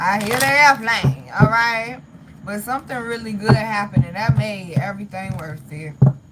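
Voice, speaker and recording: An animated woman with an American accent speaks at a moderate pace and medium pitch, her voice making very wide pitch swings and big swings in loudness amid noticeable background noise. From US (mix of Southern and northern). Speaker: tarot reader / astrology content creator. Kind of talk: live-stream tarot reading with chat. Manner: animated, emphatic.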